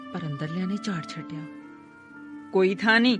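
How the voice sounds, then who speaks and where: A woman's medium-pitched voice over music in the background. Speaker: voice-over artist. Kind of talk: audiobook story narration.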